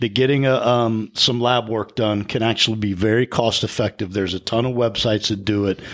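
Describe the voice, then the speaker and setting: A man with a plain, everyday voice talks fairly quickly at a medium pitch with hardly any pauses. The intonation is fairly even, and the recording is very clean with a silent background. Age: 40s. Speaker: podcast co-host. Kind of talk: casual chat.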